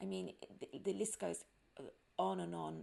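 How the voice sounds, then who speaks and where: A woman is speaking. She has a strong British accent. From London, England. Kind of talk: casual podcast monologue. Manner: chatty.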